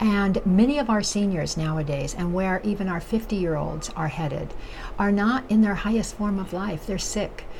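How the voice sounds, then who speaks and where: A woman of medium pitch speaks at a moderate pace with lively intonation, with audible room echo and noticeable background noise. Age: 70s. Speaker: nutrition educator and chef. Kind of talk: vlog monologue. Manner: halting, many fillers.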